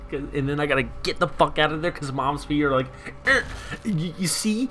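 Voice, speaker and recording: Music plays in the background. Over it, a man talks with lively intonation. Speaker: gaming youtuber. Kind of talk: gameplay commentary. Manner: casual, rambling with fillers.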